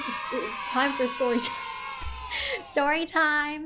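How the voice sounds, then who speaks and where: With music in the background, a woman with a non-native accent speaks at a very slow pace. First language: not English. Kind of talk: casual talk to camera.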